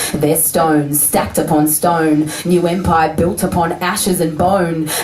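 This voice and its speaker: Over noticeable background noise, a woman with a fairly low pitch speaks at a fairly slow pace in a monotone, flat intonation and very even loudness. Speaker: slam poet. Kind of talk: spoken word poetry performance.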